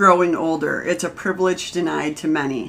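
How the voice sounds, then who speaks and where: A woman with a normal speaking voice, ordinary pitch variation and a moderate pace. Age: 40s. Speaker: podcast host, cancer survivor. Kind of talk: casual chat.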